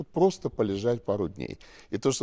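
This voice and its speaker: A man's dark, mellow tone at a fairly quick pace over a quiet background. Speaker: regional governor, physician by training. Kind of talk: interview answer. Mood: calm, slightly amused. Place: hall. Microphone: handheld.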